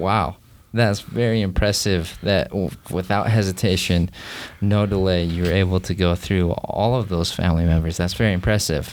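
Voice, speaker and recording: In an American accent, a man talks at a very deep, low pitch with fairly even intonation. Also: moderate pace. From United States. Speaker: podcast host. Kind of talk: interview.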